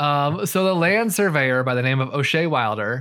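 With a Midwestern American accent, a man speaks at a medium pitch and lively intonation on a very clean recording with a silent background. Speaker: podcast co-host. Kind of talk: casual chat. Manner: fast talker.

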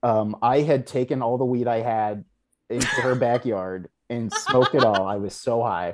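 Here is a man with an ordinary speaking voice at medium pitch. He keeps a moderate pace and fairly even intonation. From Texas, Houston. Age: 30s. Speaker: TV writer and producer. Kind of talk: casual chat.

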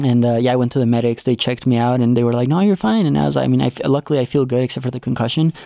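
A man's medium-pitched voice with a Spanish accent, very fast, dark and mellow in tone, with lively intonation and a dry, close sound with no echo. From Mexico. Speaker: cycling coach and racer. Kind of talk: interview conversation. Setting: studio. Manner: talkative.

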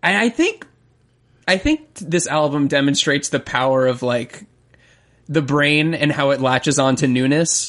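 A man with an ordinary speaking voice and an American accent, at a moderate pace with ordinary pitch variation and very even loudness, against a quiet background. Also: fairly high pitch for a man. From Florida. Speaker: music podcast co-host. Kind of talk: casual chat.

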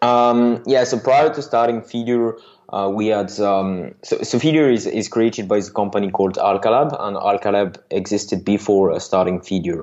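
With a French accent, a man speaks at a moderate pace with hardly any pauses, his fairly low voice showing ordinary pitch variation. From France. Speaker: software startup founder. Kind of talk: interview. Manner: halting.

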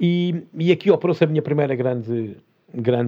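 With an unremarkable speaking voice, a man talks at a fairly quick pace with lively intonation. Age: 50s. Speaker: former TV and film professional turned entrepreneur. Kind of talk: interview conversation.

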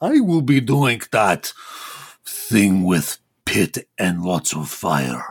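A man's put-on character voice, fairly low-pitched and very slow.

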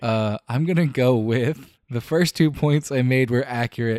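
In a very clean recording with a silent background, a man talks with an animated tone at a moderate pace, his medium pitch showing ordinary variation and the sound dry and close with no echo. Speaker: podcast co-host. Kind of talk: casual comedic chat. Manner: animated, laughs often.

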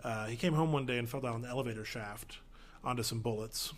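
Talking at a fairly quick pace, a man uses an ordinary speaking voice at medium pitch. His pitch variation is ordinary. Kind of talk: casual chat.

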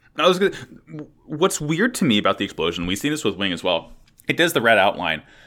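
Very fast and bright, sharp in tone, a man with a fairly high pitch speaks with vocal fry and very wide pitch swings. The recording is very clean, with a silent background. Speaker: podcast ringleader host. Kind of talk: casual chat.

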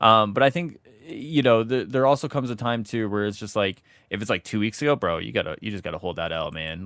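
An ordinary speaking voice, a man's, fairly low in pitch, with lively intonation and a fairly quick pace against a quiet background. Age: 20s. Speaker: gaming podcast co-host. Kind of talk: casual chat.

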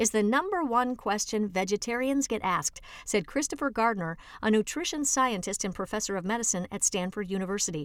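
The speaker has a normal speaking voice with lively intonation. The pace is fairly quick. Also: woman, fairly high pitch for a woman, very clean recording, silent background. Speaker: audiobook reader. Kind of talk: reading aloud an article for blind listeners, audiobook style. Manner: even, clear, measured; formal, informative, steady pace.

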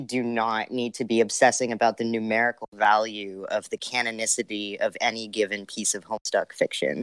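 A plain, everyday voice from a man, medium in pitch at a moderate pace, dry and close with no echo. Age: 20s. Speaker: video essayist. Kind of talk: casual chat.

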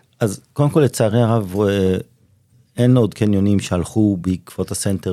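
Fairly low-pitched and dark, mellow in tone, a man speaks at a fairly slow pace with ordinary pitch variation in a very clean recording with a silent background. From Israel, Ramat HaSharon. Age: 50s. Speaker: shopping mall executive. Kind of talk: interview.

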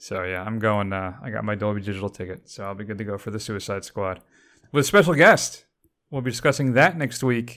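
With an ordinary speaking voice, a man talks at a fairly quick pace and a fairly low pitch, with big swings in loudness, on a very clean recording with a silent background. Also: ordinary pitch variation. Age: 60s. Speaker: film podcast host. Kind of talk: casual chat.

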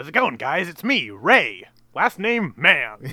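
A man uses a put-on character voice, pitched high and delivered at a fairly slow pace. His pitch swings very widely. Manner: cheerful cartoonish.

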